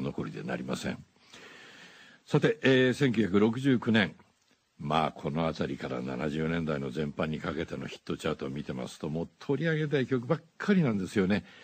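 A man speaks at a very fast pace, his pitch swinging very widely. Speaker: voice actor. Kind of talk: radio DJ music show. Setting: studio. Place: studio. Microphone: studio mic.

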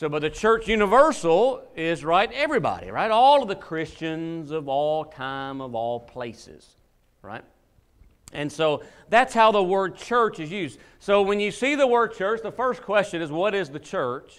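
Against a quiet background, a man speaks at a fairly slow pace with big swings in loudness. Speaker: preacher. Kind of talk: sermon. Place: church.

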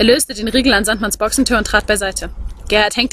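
This natural reading voice moves through ordinary pitch variation.

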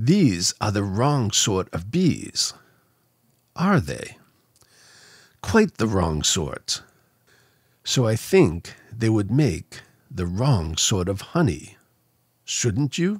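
Over a quiet background, a somewhat breathy man speaks at a very slow pace with a fairly low pitch and very wide pitch swings. He pauses long and often, and the sound is dry with no echo. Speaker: narrator reading a children's book. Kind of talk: bedtime story. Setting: studio microphone. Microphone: studio mic.

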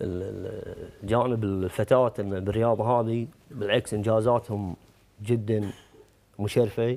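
A man speaks in a Kuwaiti accent. His tone is dark and mellow, and his intonation fairly even. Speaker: taekwondo referee; guest, sports coach or official. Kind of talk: TV talk show interview. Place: studio.

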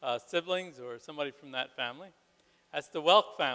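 Talking fairly quickly with ordinary pitch variation, a man is heard against a quiet background. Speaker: ministry program leader. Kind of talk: ceremony introductions and prayer; ceremony announcements and remarks. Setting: church stage with audience. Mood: warm, proud, smiling. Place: hall. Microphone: handheld.

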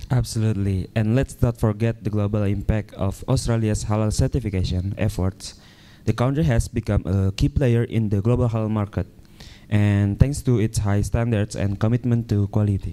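Man with an Indonesian accent, fairly low pitch, dark, mellow tone, fairly even intonation and moderate pace. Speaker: event MC. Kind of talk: formal event hosting.

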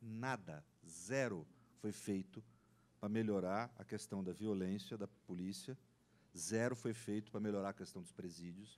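A man's fairly low-pitched, normal speaking voice, fairly even in intonation, at a fairly slow pace. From Brazil. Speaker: law professor; panelist. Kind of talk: panel debate talk. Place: meeting room. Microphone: handheld.

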